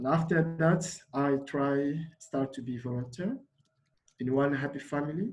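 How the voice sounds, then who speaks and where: At a fairly slow pace, a man with a fairly high pitch speaks with ordinary pitch variation and a somewhat breathy voice. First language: Lingala. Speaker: refugee volunteer. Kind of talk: panel talk. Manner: halting.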